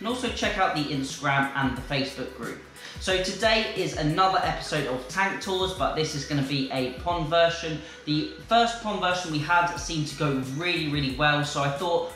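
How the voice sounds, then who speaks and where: Audible room echo and light background noise accompany a voice speaking at a moderate pace with ordinary pitch variation. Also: man. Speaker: fish-keeping channel host. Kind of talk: casual vlog chat. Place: home room.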